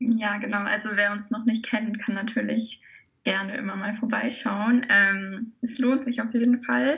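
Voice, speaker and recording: With an unremarkable speaking voice, a woman talks at a fairly slow pace in a fairly high pitch and fairly even intonation. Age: 20s. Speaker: brass choir member and social media volunteer. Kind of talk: podcast interview.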